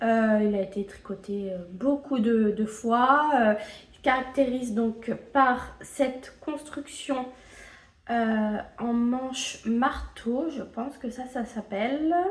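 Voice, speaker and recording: Her loudness swinging widely, a woman with a high pitch and ordinary pitch variation speaks at a very slow pace. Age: 20s. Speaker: knitting vlogger. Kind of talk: casual video podcast monologue. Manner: hesitant, many filler sounds.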